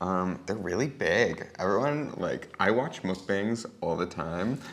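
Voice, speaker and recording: With lively intonation, a man talks at a fairly slow pace in a fairly low pitch. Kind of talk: casual talk to camera. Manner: soft-spoken.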